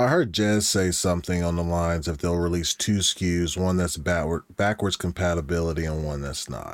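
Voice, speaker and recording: A man talks in a very deep, low voice at a moderate pace, with fairly even intonation. He hardly pauses at all. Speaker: podcast guest. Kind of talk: casual banter.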